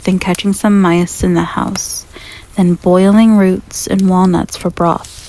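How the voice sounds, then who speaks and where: A soft-spoken woman at medium pitch, monotone and flat in intonation, at a fairly slow pace over noticeable background noise. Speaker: ASMR roleplay performer. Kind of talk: bedtime story reading.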